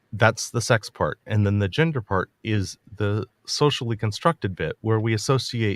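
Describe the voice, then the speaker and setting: In a very clean recording with a silent background and a dry, close sound with no echo, a man speaks at a fairly low pitch and fairly slow pace with ordinary pitch variation. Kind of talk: debate discussion. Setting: livestream. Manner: halting.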